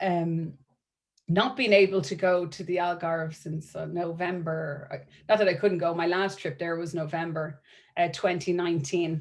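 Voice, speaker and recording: A woman with an Irish accent and a fairly low pitch. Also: moderate pace, very clean recording, silent background. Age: 40s. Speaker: marketing and events professional. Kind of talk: networking presentation. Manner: animated.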